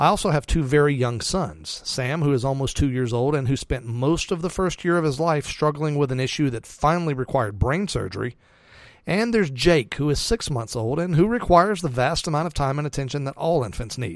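On a very clean recording with a silent background, a man has a plain, everyday voice, fairly high in pitch, with lively intonation and a fairly quick pace. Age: 40s. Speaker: radio host for investors. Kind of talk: personal monologue to listeners. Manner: warm, earnest.

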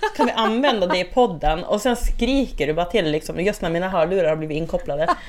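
A woman speaks at a very fast pace with hardly any pauses and lively intonation. Noticeable background noise runs underneath. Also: medium pitch for a woman. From northern Sweden, Skellefteå. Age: 30s. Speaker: podcast co-host, bartender. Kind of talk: casual chat.

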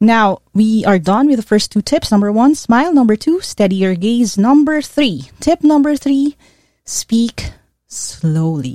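Her voice is fairly high-pitched with very wide pitch swings and a dark, mellow tone as a woman speaks in a Filipino accent, the sound dry and close with no echo. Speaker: career coach. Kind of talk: coaching podcast monologue. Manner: code-switching Taglish.

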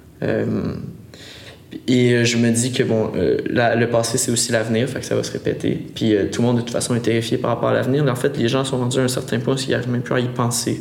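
Flat, monotone speech comes at a fairly quick pace amid noticeable background noise and audible room echo. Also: man, medium pitch for a man. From Quebec, Montérégie countryside. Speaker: singer-songwriter. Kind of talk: casual interview.

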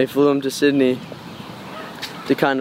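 With an Australian accent, a man speaks at medium pitch over noticeable background noise. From Australia, Cairns, Queensland. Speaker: musician. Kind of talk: casual interview. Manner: halting.

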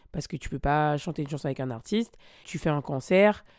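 Over a silent background in a very clean recording, a woman with a very deep, low pitch speaks at a fairly quick pace. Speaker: podcaster and former singer. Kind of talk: personal storytelling monologue. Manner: casual, with many hesitations.

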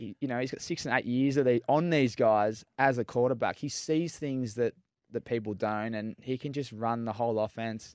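A man with an Australian accent, medium pitch, ordinary pitch variation and moderate pace, dry and close with no echo, on a very clean recording with a silent background. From Melbourne, Australia. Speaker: former footballer, entrepreneur. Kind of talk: casual chat. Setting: studio.

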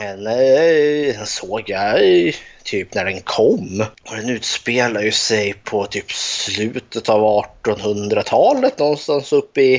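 This man's medium-pitched voice moves at a very slow pace. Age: 30s. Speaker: podcast co-host. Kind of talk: casual chat.

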